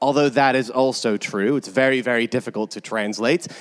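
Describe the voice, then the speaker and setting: Dry and close with no echo, a man's medium-pitched voice comes through with an American accent. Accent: American, noticeable to British audience. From California. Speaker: preacher and New Testament lecturer. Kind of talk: sermon. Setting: church with congregation.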